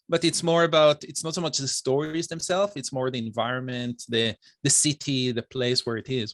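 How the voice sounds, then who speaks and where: A man with an Israeli accent, medium in pitch, at a fairly quick pace, in dry, close sound with no echo. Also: ordinary pitch variation. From Israel, Bnei Brak. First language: Hebrew. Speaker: software engineer and author. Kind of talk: interview. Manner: hesitant, many fillers.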